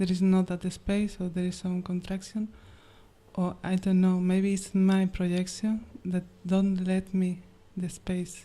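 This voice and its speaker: A woman's somewhat breathy voice has a dark, mellow tone and a monotone, flat intonation. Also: medium pitch for a woman. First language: not English. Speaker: questioner at a spiritual gathering. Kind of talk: question to a teacher. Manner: halting.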